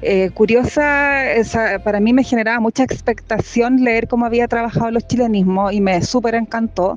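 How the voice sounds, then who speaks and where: An ordinary speaking voice from a woman, fairly high in pitch, with fairly even intonation, very even loudness, a moderate pace, and hardly any pauses. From Chile. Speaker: poet. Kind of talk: interview.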